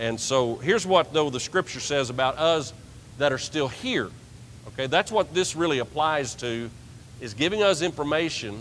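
A man keeps a moderate pace as light noise runs in the background. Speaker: preacher. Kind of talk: sermon. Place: church.

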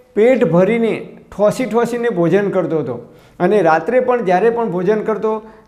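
Over noticeable background noise and audible room echo, a man with a high pitch talks with ordinary pitch variation. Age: 50s. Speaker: health YouTuber. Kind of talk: tutorial.

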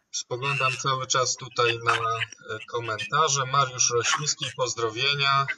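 The delivery is fairly slow. Its intonation is monotone and flat. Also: man, medium pitch for a man. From Białystok, Poland. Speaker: sports channel host. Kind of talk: live interview.

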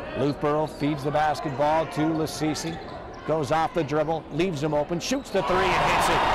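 A man with a fairly high pitch is heard over loud background noise in a dry sound with no echo. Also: very even loudness. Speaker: play-by-play announcer. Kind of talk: sports commentary. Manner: rapid-fire, play-by-play; excitable, punchy. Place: stadium.

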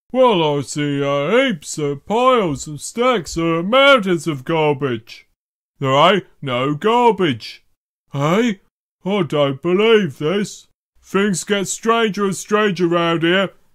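A man speaks in a put-on character voice at a high pitch and a very slow pace, on a very clean recording with a silent background. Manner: slow, hesitant.

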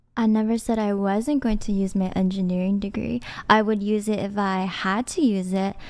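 A plain, everyday voice moves at a moderate pace with fairly even intonation. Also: woman, medium pitch for a woman. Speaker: online content creator. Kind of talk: panel debate. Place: studio. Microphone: studio mic.

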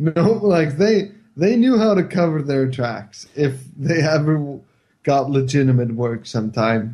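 A man's somewhat breathy voice with an Icelandic accent, lively intonation, a fairly slow pace and very even loudness. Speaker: co-host and writer. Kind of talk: casual comedic movie review chat.

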